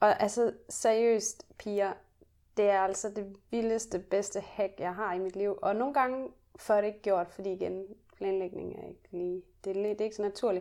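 At a moderate pace, a woman speaks at a medium pitch with big swings in loudness. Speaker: podcast co-host. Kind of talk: casual chat. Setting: hotel room. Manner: energetic.

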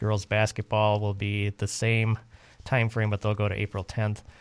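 An unremarkable speaking voice from a man, fairly low in pitch at a moderate pace, in a dry, close sound with no echo and a very clean recording with a silent background. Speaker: radio host. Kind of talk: radio DJ patter: station ID, time check, show promo. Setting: radio studio. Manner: warm, brisk, upbeat, announcer-style.

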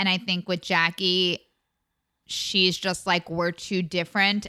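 With an American accent, a woman speaks in an unremarkable speaking voice, fairly low in pitch and at a moderate pace, on a very clean recording with a silent background. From Long Island, New York. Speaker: actor and podcast recapper. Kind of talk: casual chat recapping reality TV.

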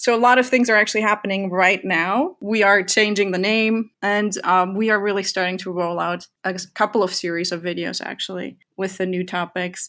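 A woman speaks at a medium pitch with fairly even intonation and hardly any pauses. The recording is very clean, with a silent background. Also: moderate pace. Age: 30s. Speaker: economics educator and animator. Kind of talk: casual interview chat. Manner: halting, with many fillers.

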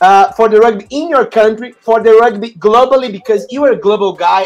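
A man with a Portuguese accent talks at a fairly quick pace in a high voice. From Brazil. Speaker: podcast host. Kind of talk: casual interview chat. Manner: halting.

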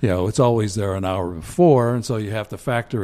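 Using ordinary pitch variation, a man with a fairly low pitch talks at a fairly quick pace. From western Pennsylvania (Johnstown, Cambria County). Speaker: community band trombonist and former band president. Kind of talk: casual interview. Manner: halting, many fillers.

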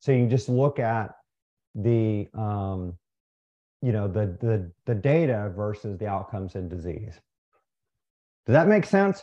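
Against a quiet background, a man with a dark, mellow tone speaks at a fairly slow pace with long, frequent pauses. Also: fairly low pitch for a man, ordinary pitch variation. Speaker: ophthalmologist and nutrition researcher. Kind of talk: interview. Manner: halting, many fillers.

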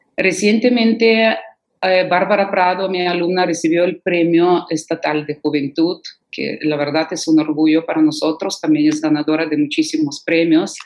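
Using a Russian accent, a woman speaks at a moderate pace with a fairly low pitch and ordinary pitch variation. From Ukraine (Kherson, Odessa). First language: Russian (speaking Spanish). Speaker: concert pianist and piano professor. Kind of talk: interview.

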